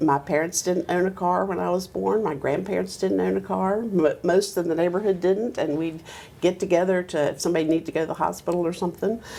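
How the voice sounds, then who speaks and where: A woman's fairly low voice in an American accent, with vocal fry, a very fast pace and fairly even intonation. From US South, Roanoke, Virginia. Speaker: retired attorney. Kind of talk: oral history interview. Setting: law office.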